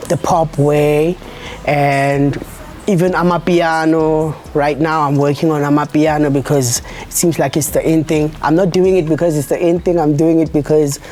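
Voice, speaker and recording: A woman with a South African accent speaks at a fairly slow pace in a very deep, low pitch. Her intonation is monotone and flat, and there is noticeable background noise. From South Africa, Eldorado Park. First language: isiZulu. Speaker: musician. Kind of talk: interview. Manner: halting.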